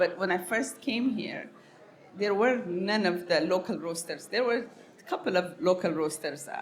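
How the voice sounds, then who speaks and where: A woman speaks at a moderate pace with a medium pitch. Her intonation is lively, and background noise is noticeable. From Ethiopia (Harar, east). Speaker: coffee business owner. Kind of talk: podcast interview. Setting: live event.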